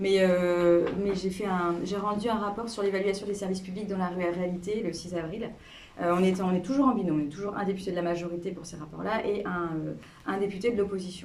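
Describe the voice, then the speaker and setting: A woman talks at a fairly quick pace with fairly even intonation, amid noticeable background noise and audible room echo. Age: 40s. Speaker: member of parliament. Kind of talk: interview with school pupils. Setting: classroom. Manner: hesitant, many fillers; casual.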